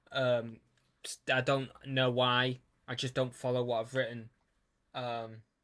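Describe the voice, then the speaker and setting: Speaking in a British accent at a fairly slow pace, the voice keeps a monotone, flat intonation broken by long, frequent pauses. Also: man, medium pitch for a man. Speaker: YouTuber. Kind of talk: casual commentary. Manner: halting.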